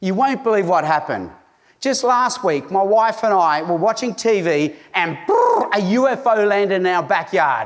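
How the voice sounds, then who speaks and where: Pitched high, a man's voice moves with lively intonation at a moderate pace and very even loudness, heard with audible room echo and noticeable background noise. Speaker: evangelist and conference speaker. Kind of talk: conference talk.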